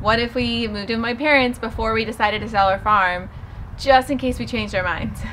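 Over light background noise, a woman with an American accent talks at a fairly quick pace, her fairly high pitch held in fairly even intonation. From Southern California. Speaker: lifestyle vlogger. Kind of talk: casual vlog monologue. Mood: reflective, calm. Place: garden.

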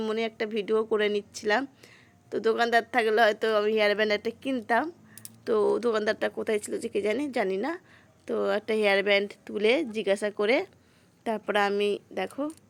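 A woman with an unremarkable speaking voice talks at a fairly high pitch with fairly even intonation in a very clean recording with a silent background. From West Bengal, Murshidabad. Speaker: vlogger. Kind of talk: casual vlog narration. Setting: outdoors at a village fair.

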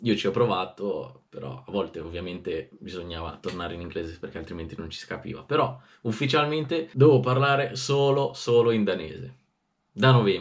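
Fairly quick and animated, a man talks in a fairly low, somewhat breathy voice with very wide pitch swings and big shifts in loudness. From Italy. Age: 20s. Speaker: youtuber. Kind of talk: casual vlog reading diary aloud. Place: home room.

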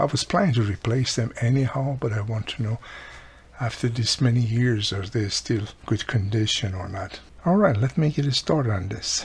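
Vocal fry runs through the voice. The pace is moderate, with ordinary pitch variation. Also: man, medium pitch for a man.

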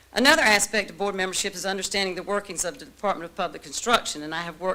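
A woman speaks at a fairly low pitch. Her intonation is fairly even. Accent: American. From eastern North Carolina, Martin County. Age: 60s. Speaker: retired teacher, board seat applicant. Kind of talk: public address at board meeting. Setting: board of education meeting room. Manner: earnest, slightly halting with fillers.

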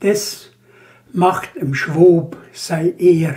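In a Banat Swabian accent, a man speaks at a high pitch. His pace is very slow and his intonation fairly even. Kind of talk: poetry reading.

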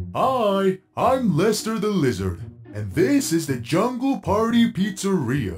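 A man puts on a cartoonish character voice, high-pitched and cheerful in tone. Faint music plays in the background. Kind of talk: cartoon voice acting. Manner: cheerful, eager, friendly.

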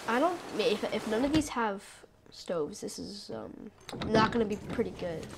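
Noticeable background noise sits behind the recording. A woman speaks with lively intonation. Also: fairly high pitch for a woman, moderate pace. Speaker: gaming YouTuber. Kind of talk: let's play gameplay commentary. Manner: rambling, hesitant with fillers; excitable, panicky outbursts.

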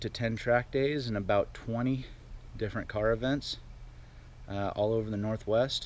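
A man speaks at a moderate pace with light background noise. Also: dry sound with no echo. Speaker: car enthusiast vlogger. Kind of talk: casual vlog chat. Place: street. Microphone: phone near.

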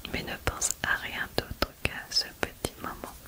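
A woman speaks softly. Loud background noise runs behind her. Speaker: ASMR creator. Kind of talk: soft-spoken ASMR guided relaxation. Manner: soft, hushed ASMR voice. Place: home room. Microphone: studio mic.

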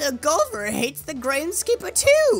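A put-on character voice with a high pitch speaks at a moderate pace over faint music in the background. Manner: weird, eccentric.

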